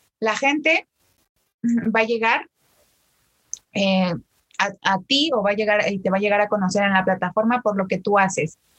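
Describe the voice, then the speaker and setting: Speaking at a medium pitch and a moderate pace, a woman uses an animated tone and ordinary pitch variation, with long, frequent pauses. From Mexico, State of Mexico. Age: 20s. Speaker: TikTok creator and law graduate. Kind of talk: casual interview chat.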